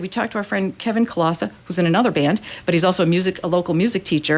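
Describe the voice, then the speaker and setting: A woman talks at a very fast pace in a fairly low pitch. Her tone is animated. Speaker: community band organizer and musician. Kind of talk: radio interview.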